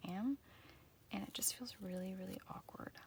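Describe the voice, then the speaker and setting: She speaks in a woman's voice. There is some breathiness to it. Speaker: journaling vlogger. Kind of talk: casual chat. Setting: home art room. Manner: quiet; halting.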